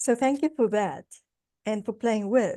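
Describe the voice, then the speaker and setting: Here a woman with a South African accent speaks at a moderate pace in a fairly high voice with ordinary pitch variation. Her tone is dark and mellow, and the background is quiet. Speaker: guest lecturer, business consultant. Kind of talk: guest lecture. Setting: video call.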